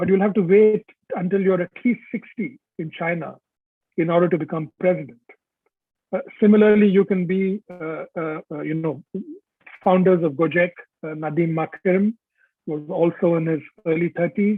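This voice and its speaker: A man's high-pitched voice, fairly even in intonation, at a moderate pace with long, frequent pauses. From India. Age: 60s. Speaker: author. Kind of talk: webinar talk. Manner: hesitant, many fillers.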